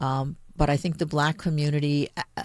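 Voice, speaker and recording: This is a woman with a very deep, low pitch. The recording is very clean, with a silent background. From Puerto Rico. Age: 60s. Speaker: city attorney. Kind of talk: radio interview.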